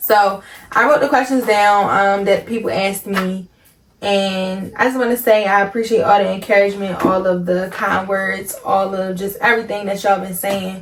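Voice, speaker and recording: A woman with a Baltimore accent at a medium pitch, moderate in pace, fairly even in intonation, with noticeable background noise. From Baltimore, Maryland. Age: 20s. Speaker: content creator. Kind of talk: casual vlog Q&A. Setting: home recording late at night.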